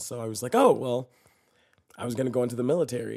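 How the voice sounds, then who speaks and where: Speaking very fast, a man with an American accent talks at a medium pitch. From Texas. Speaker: actor and comedian. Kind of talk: casual interview chat. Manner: animated.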